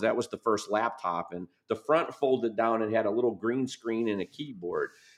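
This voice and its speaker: A man with an American accent and a plain, everyday voice, medium in pitch, at a moderate pace over a quiet background. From US Midwest, Michigan. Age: 50s. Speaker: business author and advisor. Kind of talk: podcast interview.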